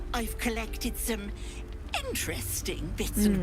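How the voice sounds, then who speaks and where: Over loud background noise, someone uses a put-on character voice at a moderate pace. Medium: game stream. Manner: doting, syrupy, uses pet names.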